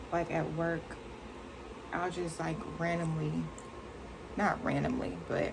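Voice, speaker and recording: Soft-spoken woman in a room with audible echo and noticeable background noise. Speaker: beauty vlogger. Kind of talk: casual chat. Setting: bedroom.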